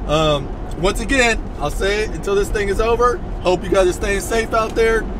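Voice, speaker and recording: The speech moves at a moderate pace with ordinary pitch variation, and the dry sound has no echo but noticeable background noise. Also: man. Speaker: fishing vlogger. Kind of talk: casual vlog chat. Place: car.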